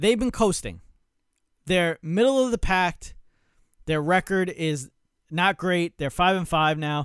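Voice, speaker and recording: An animated, high-pitched man at a fairly slow pace with long, frequent pauses and ordinary pitch variation, dry and close with no echo, on a very clean recording with a silent background. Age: 30s. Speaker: sports podcast host. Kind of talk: solo sports talk monologue. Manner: casual with many fillers.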